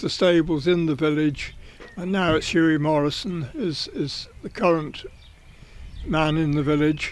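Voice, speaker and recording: With an English accent, a man talks at a fairly slow pace. His pitch is fairly high and his intonation fairly even. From southern England, Berkshire. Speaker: racing journalist. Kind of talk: life story interview. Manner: halting.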